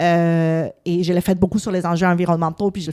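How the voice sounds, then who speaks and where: In a very clean recording with a silent background, a woman speaks with fairly low pitch, fairly even intonation and a dark, mellow tone. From Latin America. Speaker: politician. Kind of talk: casual interview.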